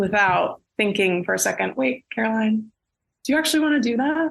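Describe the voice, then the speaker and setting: Speaking in a normal speaking voice, a woman talks at a moderate pace with an American accent. Her pitch is fairly high. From Pittsburgh, Pennsylvania, US. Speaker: actress and director. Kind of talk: casual chat.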